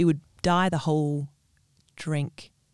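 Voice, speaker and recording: The speaker has an Australian accent and talks at a fairly slow pace. The recording is very clean, with a silent background. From Western Australia (Perth). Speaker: small business owner, fairy floss caterer. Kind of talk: casual interview. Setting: studio.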